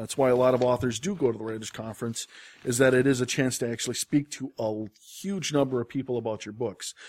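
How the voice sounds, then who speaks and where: A man with an American accent talks at a very fast pace with ordinary pitch variation, in a dry, close sound with no echo. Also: medium pitch for a man. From Wisconsin. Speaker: book editor. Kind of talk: casual chat. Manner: frequent fillers (um, uh).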